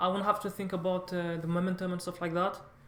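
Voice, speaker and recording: A woman speaks at a fairly quick pace in a French accent. Her medium-pitched voice stays monotone and flat. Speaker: language learner vlogger. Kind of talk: casual vlog monologue. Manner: halting, many false starts.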